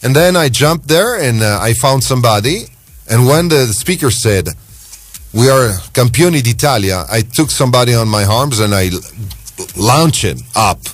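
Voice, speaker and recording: Music runs in the background as a man talks at a moderate pace. His pitch is medium, with lively intonation. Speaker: radio host. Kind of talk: radio phone-in chat.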